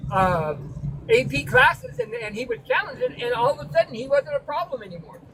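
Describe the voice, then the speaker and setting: Noticeable background noise sits behind a woman talking at a fairly quick pace in a fairly high pitch. Her pitch swings very widely and her loudness shifts in big swings. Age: 60s. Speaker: participant in trucking live stream. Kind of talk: casual group chat.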